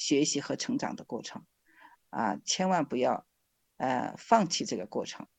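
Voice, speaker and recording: A woman with a fairly low pitch speaks with vocal fry and very wide pitch swings, in a dry, close sound with no echo over a quiet background. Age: 50s. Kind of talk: interview testimony.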